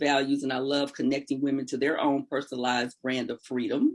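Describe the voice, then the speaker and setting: A woman is speaking. Her intonation is lively. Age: 60s. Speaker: life coach. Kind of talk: interview.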